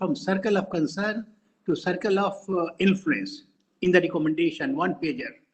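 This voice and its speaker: At a moderate pace, a man talks with a high pitch for a man. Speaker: senior official giving concluding remarks. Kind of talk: closing remarks at webinar. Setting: video call webinar. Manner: formal. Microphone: too quiet, far from mic.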